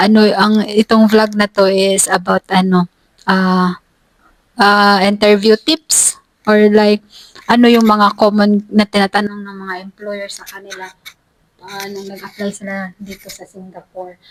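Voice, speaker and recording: A woman's medium-pitched voice at a fairly slow pace, monotone and flat, with big swings in loudness and a dry, close sound with no echo. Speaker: vlogger, domestic helper. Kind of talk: casual chat.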